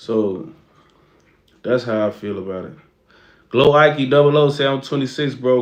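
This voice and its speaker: A man with an American accent at a moderate pace, ordinary pitch variation and audible room echo. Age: 20s. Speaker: streamer. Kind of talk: casual livestream chat.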